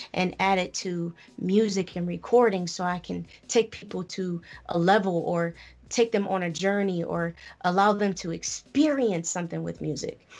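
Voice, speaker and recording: A normal speaking voice with ordinary pitch variation at a moderate pace. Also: woman. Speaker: rapper and poet. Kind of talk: casual interview chat. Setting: live radio show studio.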